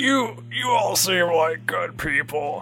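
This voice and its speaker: Putting on a character voice, a man speaks at a fairly slow pace with a fairly high pitch and very wide pitch swings, over clear background noise. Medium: actual play. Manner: mild, resigned, trusting.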